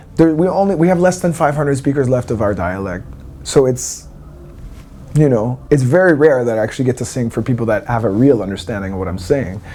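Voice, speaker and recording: A man with a Canadian accent speaks at a fairly quick pace, his medium pitch swinging very widely. Room echo is audible. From eastern Canada, Wabanaki territory. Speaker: singer. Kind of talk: interview. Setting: backstage at a music festival.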